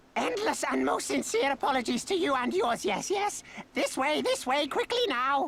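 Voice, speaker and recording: The pace is moderate in this put-on character voice. It is a female-sounding voice pitched high. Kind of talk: stilted, theatrical. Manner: obsequious, hurried, urgent.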